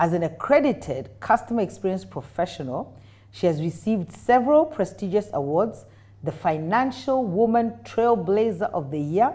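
Speaking in a Kenyan accent, a woman talks at a moderate pace. Her tone is dark and mellow, and her pitch swings very widely. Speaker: talk show host. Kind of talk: interview. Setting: studio. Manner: animated. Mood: warm, friendly, laughing. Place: studio. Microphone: lapel.

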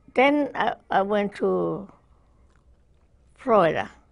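A woman speaks at a slow pace with a medium pitch and vocal fry. Her intonation is lively.

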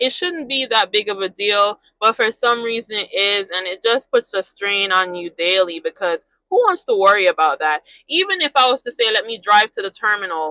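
A woman speaks at a moderate pace in a bright, sharp tone. The sound is dry with no echo, over a quiet background. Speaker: truck driver vlogger. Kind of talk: casual vlog chat. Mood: mildly frustrated, reflective. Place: car. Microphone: lapel.

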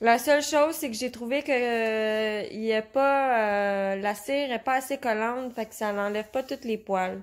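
Against a quiet background, a woman with a Quebec accent speaks at a fairly slow pace with fairly even intonation. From Quebec (Repentigny). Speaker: customer reviewer. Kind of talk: product testimonial. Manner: hesitant, many filler sounds. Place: home room. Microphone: phone near.

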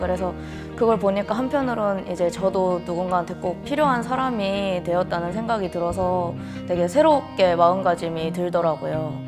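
A woman's fairly low voice with lively intonation at a moderate pace, music in the background. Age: 20s. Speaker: caregiver; emergency medical technology student. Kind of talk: interview answer.

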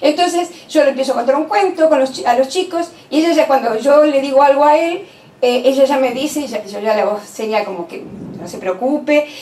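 Against audible room echo, a woman with a high pitch speaks at a moderate pace. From Argentina. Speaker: university professor and education lecturer. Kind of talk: lecture. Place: meeting room.

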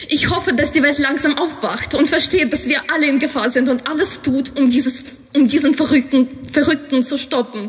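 Over noticeable background noise, a woman with a high pitch talks at a moderate pace, with very even loudness and fairly even intonation. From Ukraine. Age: 20s. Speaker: student. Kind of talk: speech at a rally. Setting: outdoor rally. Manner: emotional.

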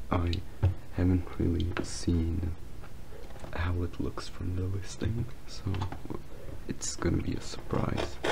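A man speaks at a very slow pace over loud background noise. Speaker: hobbyist phone repairer. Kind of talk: casual voice-over narration of a repair. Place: home room. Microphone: phone near.

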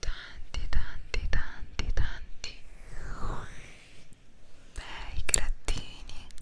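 A woman whispers, soft-spoken and very slow. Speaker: ASMR content creator. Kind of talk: soft whispered ASMR talk. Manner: soft intimate ASMR whisper. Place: home room. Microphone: studio mic.

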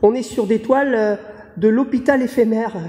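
Moderate pace with noticeable background noise. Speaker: interviewer. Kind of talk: interview.

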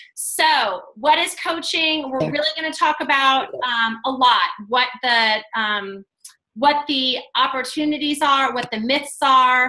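The voice is raised and projected, moving at a very slow pace. Behind it the background is quiet. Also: woman, high pitch for a woman, ordinary pitch variation. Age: 40s. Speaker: fitness coach and team leader; fitness coach. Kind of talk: video call presentation. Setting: video call. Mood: friendly, persuasive. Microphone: video call.

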